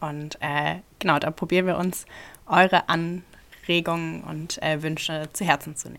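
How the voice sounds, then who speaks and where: A woman's fairly low, monotone, flat voice at a fairly slow pace, with big swings in loudness. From Rhineland-Palatinate, Ludwigshafen. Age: 20s. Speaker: podcast host, politics student. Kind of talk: casual chat.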